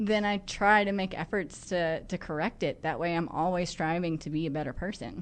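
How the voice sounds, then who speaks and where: The speech has ordinary pitch variation and hardly any pauses. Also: woman, fairly low pitch for a woman. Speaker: attorney and business owner. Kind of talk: radio interview. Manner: fast.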